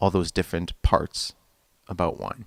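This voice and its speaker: In a very clean recording with a silent background, a man with a very deep, low voice sounds dry and close, with no echo. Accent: Canadian. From Saskatchewan, Canada. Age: 20s. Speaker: musician and restaurant consultant. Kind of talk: interview self-introduction.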